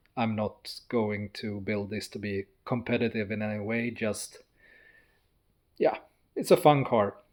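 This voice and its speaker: In a very clean recording with a silent background, a man with a non-native accent speaks at a fairly low pitch. His pace is fairly slow, with long, frequent pauses and fairly even intonation. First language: not English. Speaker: car builder, YouTuber. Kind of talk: casual walkthrough of a project car. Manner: halting, with hesitations.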